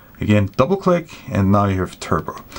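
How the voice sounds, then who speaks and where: Noticeable background noise surrounds a man speaking with a fairly low pitch. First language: German. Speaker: flashlight reviewer. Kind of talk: product review. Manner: casual, with hesitations.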